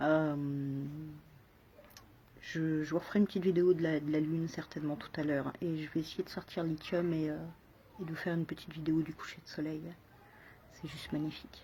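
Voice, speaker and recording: Soft-spoken and somewhat breathy, the voice has a dark, mellow tone and monotone, flat intonation, moving at a fairly quick pace broken by long, frequent pauses. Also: woman, very deep, low pitch for a woman. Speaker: video blogger. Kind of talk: casual vlog monologue. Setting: outdoors on a balcony. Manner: halting, many repetitions.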